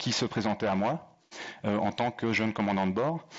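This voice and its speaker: A man is speaking. He has a slight Belgian accent. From Belgium. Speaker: airline pilot and leadership speaker. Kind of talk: talk to an audience. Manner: hesitant, many fillers.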